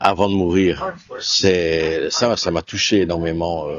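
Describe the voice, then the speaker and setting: This man's voice is very deep and low, with a slight Walloon accent. His intonation is monotone and flat. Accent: Namur Belgian accent, somewhat toned down. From Belgium, Namur region. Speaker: actor. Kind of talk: interview. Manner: hesitant, many fillers.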